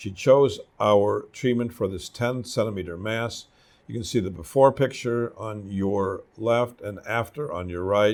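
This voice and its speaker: On a very clean recording with a silent background, a man speaks in a normal speaking voice at a fairly slow pace. His pitch is medium with ordinary variation, and his loudness swings widely. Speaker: doctor presenting patient cases. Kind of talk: medical case presentation of slides.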